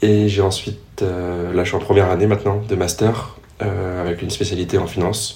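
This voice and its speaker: The voice moves at a moderate pace with monotone, flat intonation. Room echo is audible, and background noise is noticeable. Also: man, fairly low pitch for a man. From Paris region, Yvelines. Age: 20s. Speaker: triathlete and business student. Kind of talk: interview. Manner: hesitant, many fillers.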